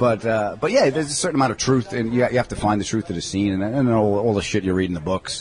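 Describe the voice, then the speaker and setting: A man with a New York accent talks very fast with hardly any pauses and ordinary pitch variation, over light background noise. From New York (Long Island). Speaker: comedian. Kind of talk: casual interview chat. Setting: in a deli. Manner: animated. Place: cafe.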